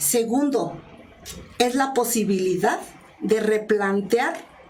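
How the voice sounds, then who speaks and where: Over noticeable background noise and audible room echo, a woman with a Mexican accent speaks at a very slow pace, her pitch fairly high and her intonation lively. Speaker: journalist and communication expert. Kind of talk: interview.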